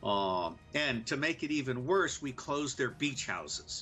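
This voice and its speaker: A man's medium-pitched voice with an American accent, a normal speaking voice, at a moderate pace. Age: 60s. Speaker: former intelligence officer. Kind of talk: political commentary.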